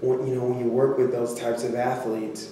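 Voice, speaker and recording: A man speaks in a flat monotone. Strong room echo and noticeable background noise fill the recording. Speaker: performance coach guest. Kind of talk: interview answer. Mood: earnest, heartfelt. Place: meeting room.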